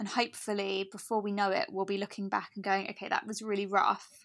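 In an English accent, a woman with a medium pitch and ordinary pitch variation speaks in a very clean recording with a silent background. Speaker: podcast host. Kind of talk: casual chat.

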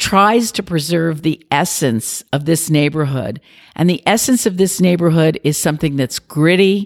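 A woman with an American accent uses an ordinary speaking voice, fairly low in pitch, with lively intonation at a fairly slow pace. Her loudness stays very even in a very clean, dry, close recording with a silent background and no echo. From New York City. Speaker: business district president. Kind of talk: interview, professional conversation. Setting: office recording.

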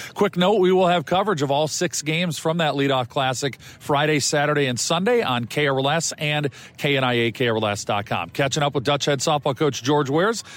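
A plain, everyday voice from a man, fairly high in pitch, with ordinary pitch variation, a moderate pace, and very even loudness. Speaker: radio sports host. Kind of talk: radio interview. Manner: brisk, conversational, upbeat.

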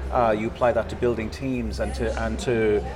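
With a Dublin accent, a man speaks over noticeable background noise. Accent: Irish (Dublin). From Dublin, Ireland. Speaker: podcast host. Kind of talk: interview.

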